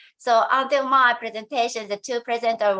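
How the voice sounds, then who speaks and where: A woman speaks with a Japanese accent at a fairly quick pace. Her pitch is fairly high. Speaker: education professor. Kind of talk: conference presentation. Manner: halting, many hesitations.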